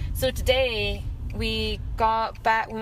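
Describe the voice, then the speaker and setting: A woman speaks with a Scottish accent. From Scotland. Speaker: podcast host and mountain bike racer. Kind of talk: casual chat. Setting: in a car.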